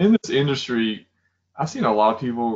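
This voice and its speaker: Lively intonation marks a man's speech over a quiet background. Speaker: interview guest. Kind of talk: interview answer. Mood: reflective, personal. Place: home room. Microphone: video call.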